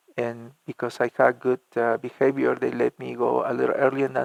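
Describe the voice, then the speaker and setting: A man with a Spanish accent, in a dry, close sound with no echo. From Argentina (La Plata). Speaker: church music minister. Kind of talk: interview. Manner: halting, many repetitions and fillers.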